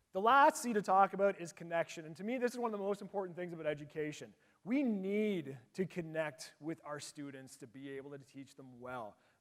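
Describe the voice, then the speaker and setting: With a strong Canadian accent, a man speaks at a high pitch and a fairly quick pace, with hardly any pauses. His tone is animated, with very wide pitch swings and big swings in loudness. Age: 40s. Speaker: teacher and conference presenter. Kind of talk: conference presentation.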